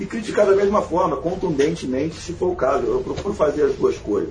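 A man talking fairly quickly amid noticeable background noise. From Rio de Janeiro, Brazil. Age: 30s. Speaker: lawyer and football fan blogger. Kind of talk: casual chat. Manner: halting, frequent repetitions.

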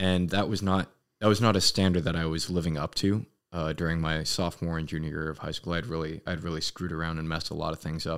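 A man with an American accent speaks at a very fast pace and a very deep, low pitch with fairly even intonation. The recording is very clean, with a silent background. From US West Coast, Los Angeles. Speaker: Marine sergeant. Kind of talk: casual chat. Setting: in a room drinking whiskey.

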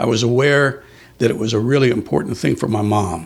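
A man's somewhat breathy voice at medium pitch, with ordinary pitch variation and a fairly quick pace. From Texas, San Antonio. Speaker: criminal defense attorney. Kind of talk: interview, storytelling.

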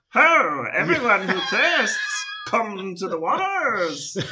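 In a put-on character voice, a man speaks at a very slow pace and a high pitch. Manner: earnest, heroic, booming.

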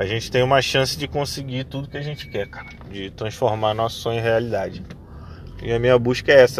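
A man speaks very fast at a medium pitch, with big swings in loudness. There is noticeable background noise. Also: ordinary pitch variation. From Rio de Janeiro, Brazil. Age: 30s. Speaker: podcaster. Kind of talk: casual monologue. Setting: in a car. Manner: halting.

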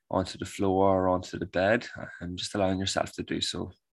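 At a moderate pace, a man talks in a very deep, low pitch with monotone, flat intonation, in a very clean recording with a silent background. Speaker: men's coach and breathwork guide. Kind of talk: guided meditation.

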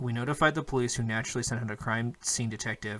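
A man speaks at a very fast pace in an animated tone and a medium pitch, on a very clean recording with a silent background. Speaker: podcast host. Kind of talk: casual banter, then spooky story reading. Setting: call. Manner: profane, jokey, animated.

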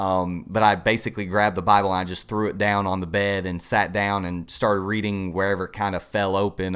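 A man with a Southern US accent speaks fairly quickly in a very deep, low voice. His intonation is monotone and flat. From US South, upstate South Carolina. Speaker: pastoral resident. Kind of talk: casual interview, personal testimony.

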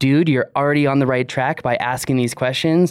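A man talks at a moderate pace with fairly even intonation. His is an unremarkable speaking voice. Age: 30s. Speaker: drone podcast co-host. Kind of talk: casual chat.

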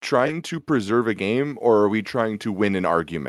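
A man with an American accent has an ordinary speaking voice at medium pitch. He speaks at a moderate pace with ordinary pitch variation on a very clean recording with a silent background. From Minnesota. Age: 20s. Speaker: podcast host. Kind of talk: casual sports chat.

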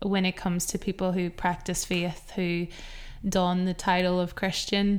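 A Northern Irish accent in a flat monotone, at very even loudness, on a very clean recording with a silent background. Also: woman, medium pitch for a woman, fairly slow pace. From Northern Ireland. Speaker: podcast co-host. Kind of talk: casual chat.

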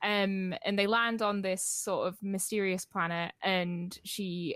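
In a Geordie accent, a woman speaks fairly slowly at a medium pitch with monotone, flat intonation. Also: dry, close sound with no echo. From northeast England, Newcastle. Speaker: novelist. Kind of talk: interview.

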